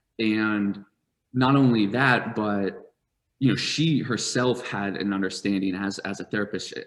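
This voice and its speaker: A man speaks with a normal speaking voice at a fairly low pitch. His pace is fairly slow and his intonation fairly even. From US Northeast, rural southern Vermont. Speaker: startup founder and CEO. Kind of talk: interview storytelling. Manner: many fillers and repetitions.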